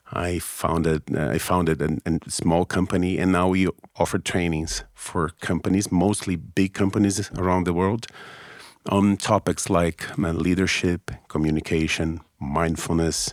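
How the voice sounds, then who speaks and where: A man with a Brazilian Portuguese accent speaks at a very deep, low pitch and a fairly slow pace. His loudness stays very even with ordinary pitch variation, on a very clean recording with a silent background. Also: dry, close sound with no echo. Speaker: business trainer, former lawyer. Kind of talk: interview conversation. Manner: halting, self-correcting.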